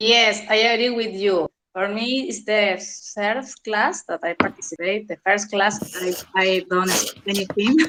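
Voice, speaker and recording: In a Spanish accent, the speaker goes at a fairly slow pace with ordinary pitch variation and a dry, close sound with no echo. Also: woman, medium pitch for a woman. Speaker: English learner in online class. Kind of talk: class discussion. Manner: halting.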